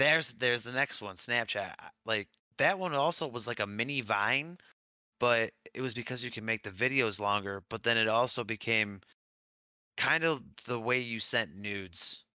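A man with an American accent speaks in a normal speaking voice at a medium pitch. His pace is moderate and his pitch variation ordinary. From Michigan. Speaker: podcast co-host. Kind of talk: casual chat.

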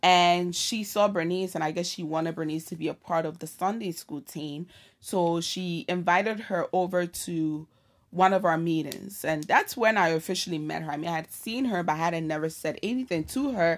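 In a very clean recording with a silent background, a woman with an American accent talks at a moderate pace in a normal speaking voice, fairly low-pitched with ordinary pitch variation. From Ghana until age twelve, then the Bronx, New York. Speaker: podcast co-host. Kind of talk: casual chat.

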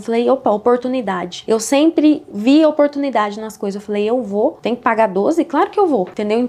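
A woman's high voice at a fairly quick pace, ordinary pitch variation and noticeable background noise. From Paraná, Brazil (Altônia, interior). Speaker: digital marketing entrepreneur. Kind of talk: casual interview.

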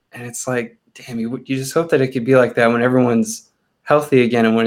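In a Californian accent, a man talks at a medium pitch with fairly even intonation. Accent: General American (Californian). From Southern California, Chino Hills. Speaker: theme park worker and sports fan. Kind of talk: casual chat.

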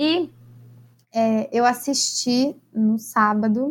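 A woman talks at a fairly high pitch, keeping her intonation fairly even. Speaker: podcast co-host. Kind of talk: casual chat. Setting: virtual call.

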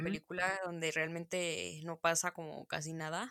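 Speaking at a very slow pace, a woman with a fairly low pitch and a bright, sharp tone is heard in a very clean recording with a silent background and a dry, close sound with no echo. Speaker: film podcast co-host. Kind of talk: casual chat.

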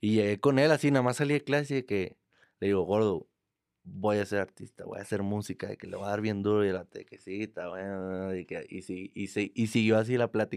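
A man with a normal speaking voice and ordinary pitch variation is heard in a very clean recording with a silent background and a dry, close sound with no echo. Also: fairly low pitch for a man, fairly quick pace. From Mexico, Monterrey. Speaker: trap artist. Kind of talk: casual chat. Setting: studio.

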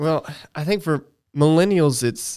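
The recording is very clean with a silent background as a man speaks at a fairly slow pace with an American accent. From US South, Augusta, Georgia. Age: 30s. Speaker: church co-host. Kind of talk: casual chat.

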